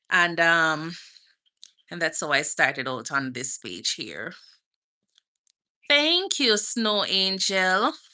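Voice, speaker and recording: Against a quiet background, a woman with a Jamaican accent speaks very slowly at a fairly low pitch in a bright, sharp tone, with very wide pitch swings and long, frequent pauses. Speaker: nurse and lifestyle vlogger. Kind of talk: live stream Q&A chat. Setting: outdoors.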